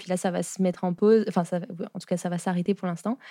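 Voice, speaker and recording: Medium pitch and a dark, mellow tone in a woman's voice. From France. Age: 20s. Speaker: architect and entrepreneur. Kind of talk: casual interview. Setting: studio.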